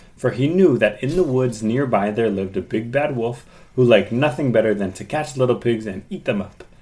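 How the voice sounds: What comes through is a natural reading voice.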